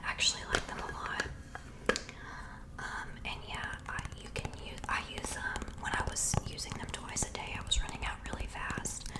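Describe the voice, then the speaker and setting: Her words come out in a whisper at a moderate pace. Behind her, background noise is noticeable. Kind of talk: ASMR whispered favorites talk. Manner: whispered.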